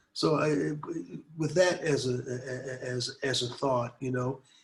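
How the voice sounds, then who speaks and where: Somewhat breathy, a man with an American accent speaks at a medium pitch and a fairly slow pace, his intonation fairly even. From US Midwest, Detroit. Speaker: anti-war activist and artist. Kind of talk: interview. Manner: conversational, many fillers.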